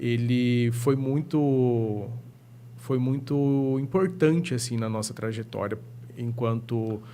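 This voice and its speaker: In a room with audible echo, a man speaks at a very slow pace and medium pitch with ordinary pitch variation. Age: 30s. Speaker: psychologist. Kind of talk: podcast interview.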